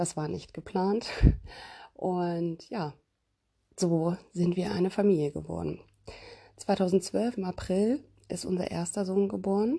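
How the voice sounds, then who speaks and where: Very slow and broken by long, frequent pauses, a woman's somewhat breathy voice has a dark, mellow tone, a medium pitch and ordinary pitch variation. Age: 30s. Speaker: parenting podcast host. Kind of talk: casual monologue.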